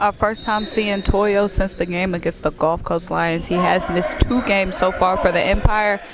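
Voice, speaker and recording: Against noticeable background noise, a woman speaks in an energetic, enthusiastic tone at medium pitch and a moderate pace, with ordinary pitch variation and hardly any pauses. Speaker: sports reporter / color commentator. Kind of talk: live basketball color commentary.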